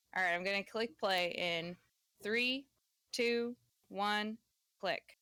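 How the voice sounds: Over a quiet background, the pitch of a natural reading voice shifts in an ordinary way.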